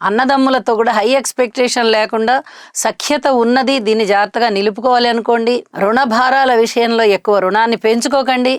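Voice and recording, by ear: A woman speaks fairly quickly and at a fairly high pitch, with few pauses. Her intonation stays fairly even, and the sound is dry and close with no echo.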